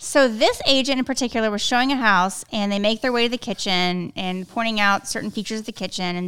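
Very fast speech from a woman, fairly high-pitched, with hardly any pauses, ordinary pitch variation and a very clean recording over a silent background. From South Texas. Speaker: podcast host, real estate agent. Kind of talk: casual chat.

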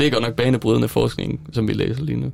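A man talks at a moderate pace. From Denmark, Silkeborg. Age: 20s. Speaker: student teacher. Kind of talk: casual chat. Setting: studio. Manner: halting.

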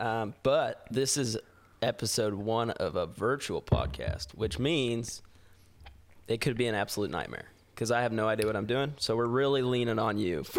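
Moderate pace, ordinary pitch variation and vocal fry in a man's medium-pitched voice. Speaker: podcast host. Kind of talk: casual chat. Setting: video call.

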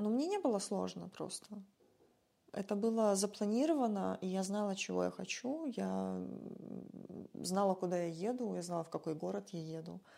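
A woman talks at a moderate pace with long, frequent pauses. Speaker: musician and former social worker. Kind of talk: casual interview chat. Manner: animated.

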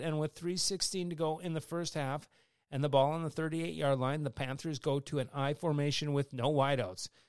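On a very clean recording with a silent background, a man with an American accent speaks at a moderate pace and fairly high pitch with ordinary pitch variation. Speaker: high school football radio host. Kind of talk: sports commentary, play-by-play recap of a football game. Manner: animated, brisk play-by-play delivery.

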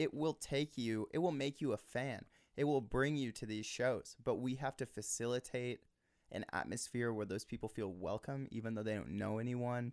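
An ordinary speaking voice, a man's medium pitch and ordinary pitch variation come at a moderate pace, dry and close with no echo on a very clean recording with a silent background. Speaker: musician and songwriter. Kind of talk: casual interview chat. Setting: home recording studio. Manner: articulate, jokey.

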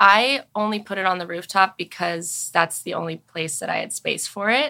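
With a Californian accent, a woman speaks fairly slowly in a bright, sharp tone of medium pitch and ordinary pitch variation, on a very clean recording with a silent background. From Los Angeles, San Fernando Valley. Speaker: pilates instructor and studio founder. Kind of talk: casual chat.

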